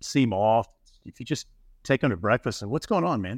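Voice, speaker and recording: A man with a Southern US accent at a medium pitch, talking at a fairly quick pace in a dry, close sound with no echo, on a very clean recording with a silent background. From Alabama. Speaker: custom home builder. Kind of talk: casual interview.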